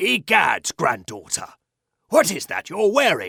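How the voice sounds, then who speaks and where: A man growls in a put-on character voice that is raspy, at a fairly slow pace. The sound is dry and close, with no echo. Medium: read story.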